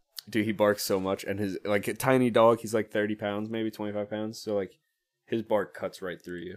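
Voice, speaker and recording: Fairly low male voice in a monotone, flat intonation, on a very clean recording with a silent background. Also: moderate pace. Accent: American. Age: 20s. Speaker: trumpet player in a polka band. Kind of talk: casual chat. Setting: studio. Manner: nervous, halting.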